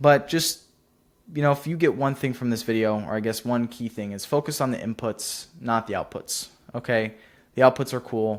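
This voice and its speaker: A man with an American accent and a plain, everyday voice speaks at a medium pitch and a moderate pace with ordinary pitch variation. The recording is very clean and the background silent. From US Pacific Northwest, near Seattle. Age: young. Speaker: entrepreneur YouTuber. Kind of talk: casual vlog monologue. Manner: casual, filler-heavy.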